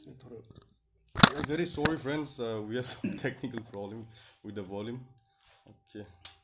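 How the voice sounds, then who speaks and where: Loud background noise surrounds a man talking at a fairly slow pace. His loudness swings widely, while his pitch varies in an ordinary way. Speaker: interviewer. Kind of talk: live interview. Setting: live video stream with poor network. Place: studio.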